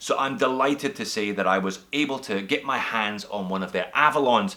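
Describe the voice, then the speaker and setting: A man speaking at a fairly quick pace in a Scottish accent, with noticeable background noise. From Scotland. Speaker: watch reviewer, YouTuber. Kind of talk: product review.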